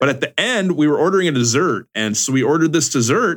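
With an unremarkable speaking voice, a man speaks at a fairly high pitch using lively intonation. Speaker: podcast co-host. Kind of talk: casual chat.

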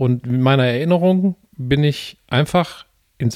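Pitched fairly high, a man speaks in a plain, everyday voice. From Ruhr area, Gelsenkirchen. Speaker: podcast co-host. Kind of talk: casual chat. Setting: home living room, portable podcast setup.

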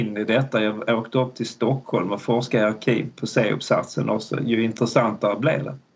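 With fairly level intonation, a man talks at a medium pitch. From Malmö, Skåne, southern Sweden. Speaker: history professor. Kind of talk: interview. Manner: hesitant, many fillers.

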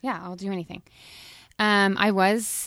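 The recording of a woman speaking is very clean, with a silent background. She talks at a moderate pace. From Oklahoma, Weatherford. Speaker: fitness studio owner. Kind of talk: casual interview. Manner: animated.

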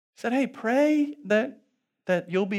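The tone is animated, with very wide pitch swings. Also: man. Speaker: pastor. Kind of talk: sermon. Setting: church. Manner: animated, self-deprecating humor; fervent, urgent, rising, pleading preacher cadence.

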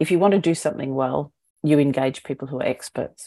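A woman with an Australian accent and a very deep, low pitch. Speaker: eco brand founder. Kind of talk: podcast interview.

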